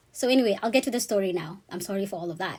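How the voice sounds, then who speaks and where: A somewhat breathy woman's voice at a very fast pace, medium in pitch with ordinary pitch variation, in a very clean recording with a silent background. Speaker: vlogger sharing personal experience. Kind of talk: personal storytelling monologue. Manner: casual, conversational.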